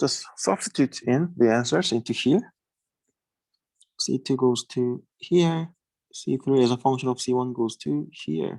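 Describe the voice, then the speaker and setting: The speech moves at a fairly slow pace with long, frequent pauses over a quiet background. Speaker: teaching assistant. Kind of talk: lecture. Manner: hesitant, with fillers.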